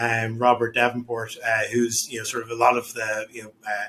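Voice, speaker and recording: A man speaks with an Irish accent. His pitch is medium and his pace moderate. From Ireland. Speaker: real estate development executive. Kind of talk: podcast interview.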